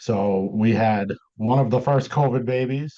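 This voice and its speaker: Against a quiet background, a man with a dark, mellow tone speaks with ordinary pitch variation. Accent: Massachusetts. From Massachusetts. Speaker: deck building business owner. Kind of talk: interview.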